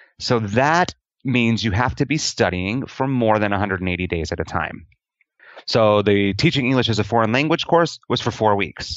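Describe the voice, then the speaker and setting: With a General American accent, a man talks in a plain, everyday voice at a medium pitch and a moderate pace. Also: lively intonation. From Denver, Colorado, US. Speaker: expat teacher. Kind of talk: interview.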